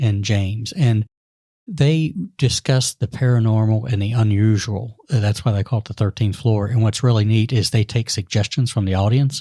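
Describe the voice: The man's voice sits at a fairly low pitch. Its tone is dark and mellow.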